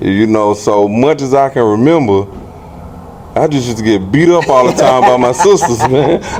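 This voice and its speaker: A man with an American accent speaks at a moderate pace in a medium pitch, his intonation lively over noticeable background noise. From Aiken, South Carolina. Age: 40s. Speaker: former boxer. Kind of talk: interview.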